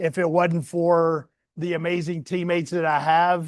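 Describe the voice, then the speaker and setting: Against a quiet background, a man with a Southern US accent speaks at a fairly slow pace in a high pitch. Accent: Southern US country. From US South. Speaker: community leader reading to children. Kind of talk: storytime talk to children. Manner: casual, folksy.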